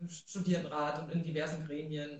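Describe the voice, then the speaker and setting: Somewhat breathy, a woman with a very deep, low pitch speaks at a moderate pace in monotone, flat intonation. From Thuringia, Germany (Rudolstadt). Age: 30s. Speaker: social worker and city council member. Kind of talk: livestream interview. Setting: livestream.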